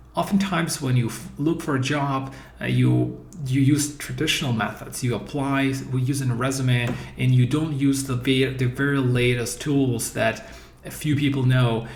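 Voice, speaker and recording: Fairly even intonation with noticeable background noise and audible room echo. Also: man, medium pitch for a man, moderate pace. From Eastern Europe. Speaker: career coach. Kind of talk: course introduction. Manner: halting.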